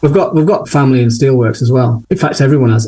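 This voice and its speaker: This man's voice sits at a fairly high pitch. It has a dark, mellow tone and sounds somewhat breathy. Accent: Yorkshire. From Sheffield, northern England. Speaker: portrait photographer. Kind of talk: interview conversation.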